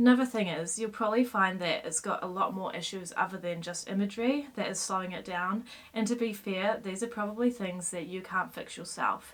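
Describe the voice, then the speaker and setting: Speaking at a fairly quick pace with hardly any pauses, a woman uses a medium pitch and ordinary pitch variation. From New Zealand. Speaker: SEO consultant; presenter. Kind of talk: casual talk to camera. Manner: upbeat, playful. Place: home room.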